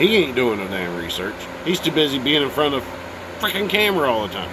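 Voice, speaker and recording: Talking at a very fast pace, a man with a fairly high pitch makes very wide pitch swings, with audible room echo and noticeable background noise. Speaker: video blogger. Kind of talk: casual monologue.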